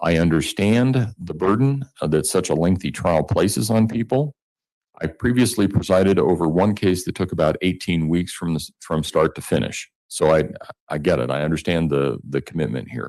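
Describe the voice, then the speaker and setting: Lively intonation and vocal fry mark this voice, which moves at a moderate pace. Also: man, very deep, low pitch for a man. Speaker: judge. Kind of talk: jury instructions in court. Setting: courtroom. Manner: loud; formal.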